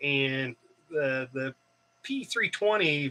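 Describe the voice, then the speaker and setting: The man's voice carries a bright, sharp tone. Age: 50s. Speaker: prepper livestream host. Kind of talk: live Q&A chat. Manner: casual, hesitant with fillers.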